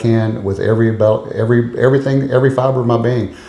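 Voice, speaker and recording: Speaking very fast with an East Texas accent, a man keeps a medium pitch and fairly even intonation amid noticeable background noise and audible room echo. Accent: East Texas Southern US. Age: 60s. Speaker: political candidate. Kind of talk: interview.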